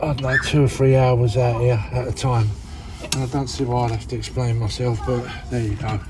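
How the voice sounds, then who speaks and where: Over noticeable background noise and audible room echo, a man talks at a fairly quick pace with a medium pitch and fairly even intonation. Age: 60s. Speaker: DIY builder. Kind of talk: DIY tutorial vlog. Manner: casual, chatty.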